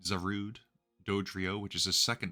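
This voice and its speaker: Over music in the background, a man talks at a moderate pace with monotone, flat intonation. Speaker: competitive gaming content creator. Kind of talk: casual commentary video. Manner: hesitant with many filler words.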